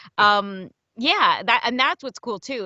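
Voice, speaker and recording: With ordinary pitch variation, a woman talks at a fairly quick pace. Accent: slight New Jersey. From New Jersey. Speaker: audiobook narrator and voice actor. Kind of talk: casual interview chat. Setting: podcast interview.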